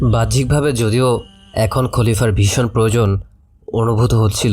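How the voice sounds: Fairly even intonation carries a natural reading voice.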